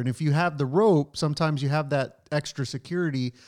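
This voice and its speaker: A man with an ordinary speaking voice talks at a fairly quick pace, fairly high in pitch with fairly even intonation. The recording is very clean and dry, close with no echo and a silent background. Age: 30s. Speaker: podcast host. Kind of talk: casual chat.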